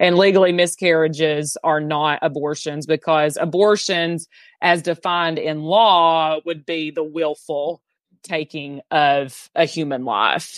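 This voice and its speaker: In a Southern US accent, a woman speaks fairly slowly with a very deep, low pitch and fairly even intonation. The sound is dry and close with no echo, over a quiet background. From Southeast Tennessee. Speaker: abortion abolition activist. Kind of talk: interview.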